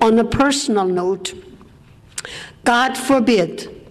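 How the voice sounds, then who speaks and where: Noticeable background noise sits behind a woman with a fairly high pitch. She talks at a very slow pace with ordinary pitch variation. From Austria. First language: German. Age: 80s+. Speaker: war survivor speaker. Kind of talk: testimony.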